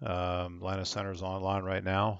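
A man speaks at a moderate pace with a very deep, low pitch. The sound is dry with no echo, and the background is quiet. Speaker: online air traffic control hobbyist streamer. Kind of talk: casual commentary while operating software. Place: home room. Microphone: headset.

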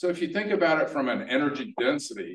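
Audible room echo surrounds a man speaking with lively intonation. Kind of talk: presentation talk. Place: hall. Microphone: camera far.

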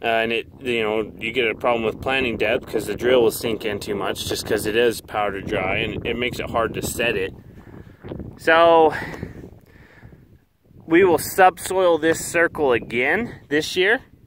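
Lively intonation at a moderate pace, dry with no echo, over noticeable background noise. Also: man. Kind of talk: casual vlog commentary. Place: open country. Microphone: phone near.

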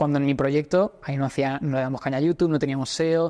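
The voice runs at a very fast pace in a monotone, flat intonation. The background is quiet. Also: man. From Spain. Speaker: entrepreneur; podcast host. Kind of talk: casual chat. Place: gym. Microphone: lapel.

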